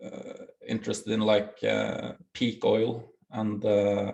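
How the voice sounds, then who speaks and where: This man speaks with a Norwegian accent. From Norway. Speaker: bitcoin project founder. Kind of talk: interview. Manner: halting.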